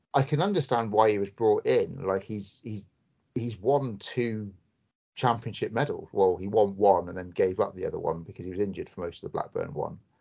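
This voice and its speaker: Talking at a fairly quick pace, a man's voice shows big swings in loudness. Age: 30s. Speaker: football podcast co-host. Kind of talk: casual chat.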